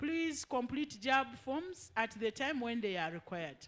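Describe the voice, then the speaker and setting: A woman with a high pitch. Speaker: education official. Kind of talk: public information session.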